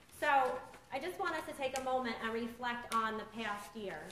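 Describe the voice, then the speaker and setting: Audible room echo surrounds a woman whose voice sits fairly high. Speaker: recovery foundation director. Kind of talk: support group talk.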